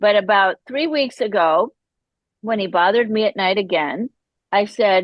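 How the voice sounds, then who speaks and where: A woman speaks at a moderate pace in a fairly high voice. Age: 60s. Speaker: guest sharing recovery story, hypnotherapist and artist. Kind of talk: podcast interview, personal testimony. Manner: animated, conversational.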